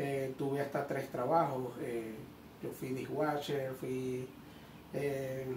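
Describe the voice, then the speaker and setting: Speaking at a very slow pace, a man has a fairly high pitch. Noticeable background noise and audible room echo fill the recording. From Venezuela, Maracaibo (Zulia). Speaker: electrician and electricity course teacher. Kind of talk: interview. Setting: training venue.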